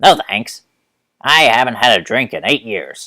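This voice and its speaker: A man puts on a character voice at medium pitch, speaking at a moderate pace. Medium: read story. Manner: smug, condescending.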